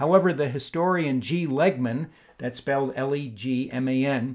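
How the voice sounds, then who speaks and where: Speaking at a moderate pace, a man with an unremarkable speaking voice holds a fairly high pitch and varies it in an ordinary way. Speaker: podcast host. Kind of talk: interview. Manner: formal.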